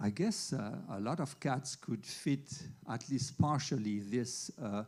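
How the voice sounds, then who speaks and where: At a very slow pace, a somewhat breathy voice with a dark, mellow tone comes through on a very clean recording with a silent background. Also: man. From Switzerland. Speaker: veterinary internist. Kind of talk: lecture.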